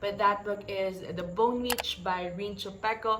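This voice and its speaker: A woman with a Filipino accent speaks at a moderate pace and a medium pitch, with noticeable background noise and audible room echo. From Philippines. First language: Tagalog. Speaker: book vlogger. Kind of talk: casual vlog talk, Taglish book review. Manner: animated.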